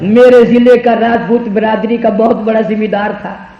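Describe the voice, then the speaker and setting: A man speaks at an extremely high pitch, with noticeable background noise behind him. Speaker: Islamic preacher giving a sermon. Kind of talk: Urdu religious sermon (bayan). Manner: emotional, storytelling.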